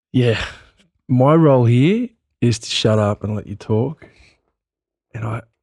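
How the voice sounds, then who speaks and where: A man's medium-pitched voice at a fairly slow pace, with long, frequent pauses and a dry, close sound with no echo. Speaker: podcast host. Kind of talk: interview.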